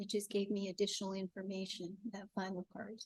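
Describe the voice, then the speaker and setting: This woman is soft-spoken, with a medium pitch. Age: 60s. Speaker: funeral celebrant and death doula. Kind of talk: panel discussion.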